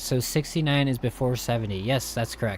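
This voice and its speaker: Somewhat breathy and at a medium pitch, a man talks at a fairly quick pace. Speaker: gaming streamer. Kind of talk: casual live stream commentary. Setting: live stream. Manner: casual, chatty.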